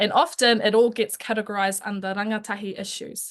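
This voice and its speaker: This is a woman speaking. She talks with a New Zealand accent. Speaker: youth advocate. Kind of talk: webinar presentation. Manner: fast.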